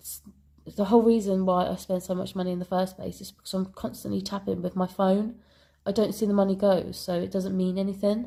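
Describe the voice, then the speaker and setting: Somewhat breathy, with a dark, mellow tone, a woman speaks at a medium pitch in a British accent. Her pace is fairly quick and her intonation monotone and flat. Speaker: budgeting vlogger. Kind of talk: casual vlog talk. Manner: hesitant, many ums and ahs.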